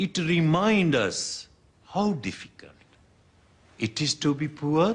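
A somewhat breathy man speaks at a very slow pace. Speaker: mosque teacher (acted role). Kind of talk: teaching a religious class. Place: church.

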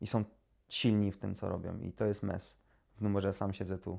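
This man's voice sits at a fairly low pitch. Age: 30s. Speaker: YouTuber. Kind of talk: casual monologue to camera. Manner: hesitant, with many repetitions.

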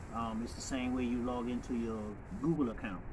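Moderately paced speech from a man, set against noticeable background noise. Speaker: vlogger. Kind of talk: casual vlog chat. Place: street. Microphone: phone near.

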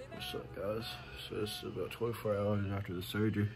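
A man mumbles at a very fast pace in a fairly low voice, with noticeable background noise behind him. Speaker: vlogger after surgery. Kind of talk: casual vlog chat. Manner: swollen, mumbled post-surgery speech. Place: home room. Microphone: phone near.

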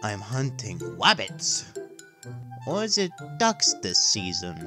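Over clear music in the background, a man does a put-on character voice at a fairly high pitch and a very slow pace. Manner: hushed.

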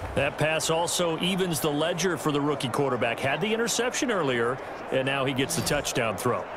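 With an energetic tone and lively intonation, a man speaks at a fairly quick pace in a fairly high pitch, his loudness very even, over noticeable background noise. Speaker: football play-by-play announcer. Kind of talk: live sports commentary. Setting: game broadcast audio. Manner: rapid-fire play-by-play, clipped and energetic.

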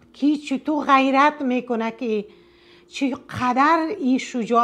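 A woman is speaking. She has an Afghan accent. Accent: Afghan Dari. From northern Afghanistan, Mazar-i-Sharif region; Afghanistan. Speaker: storytelling video blogger. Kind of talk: story narration with commentary. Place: home room.

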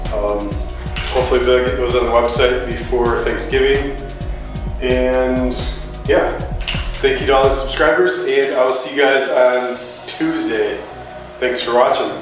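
The speech runs at a fairly slow pace with long, frequent pauses. Clear music plays in the background amid strong room echo. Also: man. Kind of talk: casual vlog chat. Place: workshop. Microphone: camera far.

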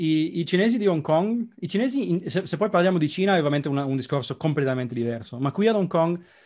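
A man talks at a very fast pace with hardly any pauses, his pitch high and his intonation lively. The background is quiet. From Italy, Trieste; Italy. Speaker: software developer expat; interview guest. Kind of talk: casual interview. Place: home room. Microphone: video call.

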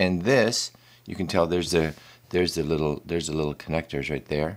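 A man with a very deep, low voice speaks at a fairly quick pace. Vocal fry shows, and his pitch varies in an ordinary way. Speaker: vlogger. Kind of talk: casual vlog. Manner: halting, repeats words. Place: studio.

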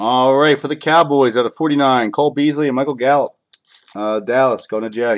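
This man has an ordinary speaking voice, medium in pitch, delivered at a moderate pace with fairly even intonation. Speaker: card breaker. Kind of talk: live sales stream. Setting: live video stream. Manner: casual, chatty.

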